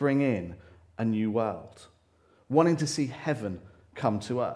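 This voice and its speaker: A man's medium-pitched voice, dark and mellow in tone, with lively intonation and audible room echo. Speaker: church speaker. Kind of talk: sermon.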